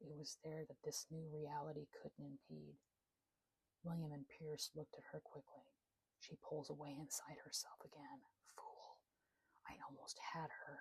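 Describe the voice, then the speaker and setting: A woman whispers at a fairly slow pace. The sound is dry and close, with no echo. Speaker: author narrating own novel. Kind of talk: sleep story. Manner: whispered.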